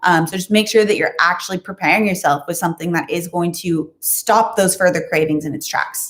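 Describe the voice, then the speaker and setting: A woman talks at a very fast pace. Her voice is fairly low-pitched and somewhat breathy. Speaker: nutrition and fasting youtuber. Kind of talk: live stream Q&A.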